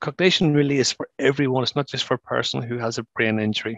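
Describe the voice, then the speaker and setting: At a very fast pace, a man talks in a medium pitch with ordinary pitch variation. The sound is dry and close with no echo, over a quiet background. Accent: Northern Irish. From Northern Ireland. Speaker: brain injury charity former director and survivor. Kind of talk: webinar presentation.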